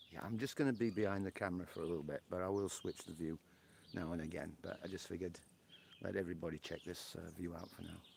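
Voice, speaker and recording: A man's very deep, low voice in a Yorkshire accent, at a very fast pace with ordinary pitch variation. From northern England, Yorkshire. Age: 60s. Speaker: live streamer. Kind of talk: casual chat. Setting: outdoors on a porch.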